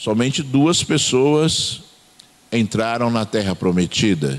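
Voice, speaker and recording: Lively intonation marks a man's speech at a medium pitch. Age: 60s. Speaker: pastor. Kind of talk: sermon. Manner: hesitant, frequent fillers.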